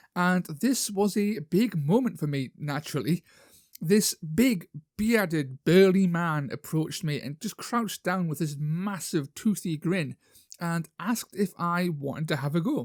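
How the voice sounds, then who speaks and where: On a very clean recording with a silent background, a man with a northern English accent and high pitch speaks with lively intonation, the sound dry and close with no echo. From northern England. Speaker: YouTuber, wargaming hobbyist. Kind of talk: casual vlog talk. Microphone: new microphone.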